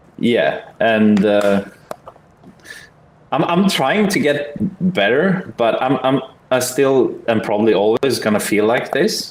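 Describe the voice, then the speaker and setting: A man with a Swedish accent speaks at a very slow pace, taking long, frequent pauses. His pitch is medium but swings very widely, his loudness stays very even, and there is noticeable background noise. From Sweden. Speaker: online game player. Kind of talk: casual debate in game voice chat. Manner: halting.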